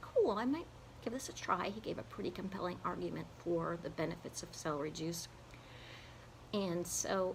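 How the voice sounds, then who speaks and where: There is audible room echo around a woman's breathy voice. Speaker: singer and health vlogger. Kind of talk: personal video blog. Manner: casual with fillers.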